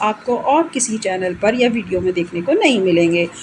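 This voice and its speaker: The voice makes very wide pitch swings over noticeable background noise. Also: woman. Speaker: English literature teacher. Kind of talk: exam-oriented literature lecture in Hindi-English mix.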